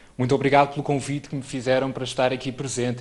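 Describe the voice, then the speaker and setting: A man is speaking. Room echo can be heard. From Portugal, Trás-os-Montes (Alto Douro). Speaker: neurologist. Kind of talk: lecture. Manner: formal.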